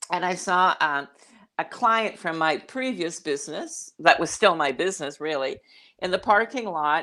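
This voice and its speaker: With a Canadian accent and a bright, sharp tone, the voice moves with lively intonation over a quiet background. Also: woman. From Canada. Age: 60s. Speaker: midlife coach. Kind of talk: interview. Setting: livestreamed video call.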